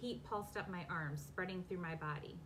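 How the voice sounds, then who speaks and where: A woman speaks with ordinary pitch variation in a room with audible echo. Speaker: romance author. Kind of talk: casual chat; reading aloud. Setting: live video from home basement. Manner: fast.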